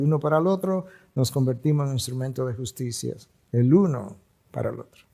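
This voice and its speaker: Speaking at a fairly quick pace, a man with a fairly high pitch has an unremarkable speaking voice. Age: 60s. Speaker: pastor. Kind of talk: sermon.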